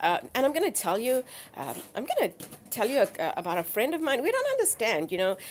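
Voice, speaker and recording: A woman speaks at a very fast pace. Noticeable background noise runs behind her. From South Africa, Durban. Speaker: live streamer with dogs. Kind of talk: live stream chat. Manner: halting, many fillers.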